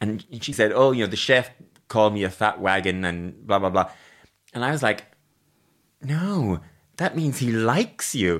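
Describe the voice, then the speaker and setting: With an Irish accent, the speaker talks at a moderate pace with lively intonation and long, frequent pauses on a very clean recording with a silent background. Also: man, fairly low pitch for a man. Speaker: podcast host. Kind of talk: interview.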